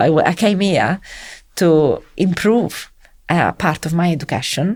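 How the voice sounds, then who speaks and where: This woman speaks with an Italian accent at a fairly low pitch. She keeps a moderate pace and ordinary pitch variation. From Italy (Rome). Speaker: civil servant in education policy. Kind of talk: interview conversation. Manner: halting.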